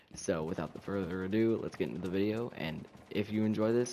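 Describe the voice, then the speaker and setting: A man's speech moves at a moderate pace. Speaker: gaming YouTuber. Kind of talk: gameplay tips commentary. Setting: at home. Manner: subdued, trying not to be loud.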